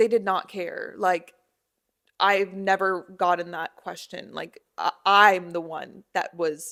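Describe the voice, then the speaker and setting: A woman with an American accent speaks very slowly in a bright, sharp tone, with big swings in loudness. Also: medium pitch for a woman. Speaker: podcast host. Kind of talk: casual solo podcast monologue. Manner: animated.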